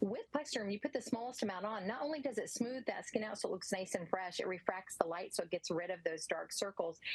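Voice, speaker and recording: Talking at a very fast pace with hardly any pauses, a woman of medium pitch uses lively intonation over noticeable background noise. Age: 60s. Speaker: skincare product representative. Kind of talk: sales pitch.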